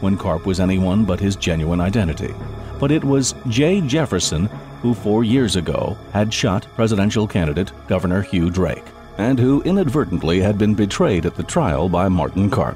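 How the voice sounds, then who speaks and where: Music in the background behind a man with a fairly low pitch, lively intonation, a moderate pace and very even loudness. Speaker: voice actor. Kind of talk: audiobook narration.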